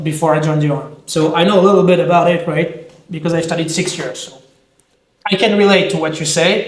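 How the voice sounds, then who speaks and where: Fairly quick and with fairly even intonation, a man with a French accent talks at a high pitch amid audible room echo. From France. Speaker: self-defense instructor, army veteran. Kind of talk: casual discussion.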